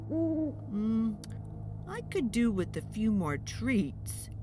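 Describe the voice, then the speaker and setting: Someone talks in a put-on character voice at a very slow pace over loud background noise. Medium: read story.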